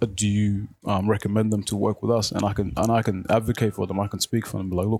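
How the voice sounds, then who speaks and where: A man with an Australian accent speaks at a fairly quick pace in a fairly low pitch and a flat, monotone intonation, on a very clean recording with a silent background. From Australia, Melbourne (Footscray), born in Africa. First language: Arabic. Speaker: youth organization treasurer and board member. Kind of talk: interview. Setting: radio studio. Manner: halting, many fillers and repeats.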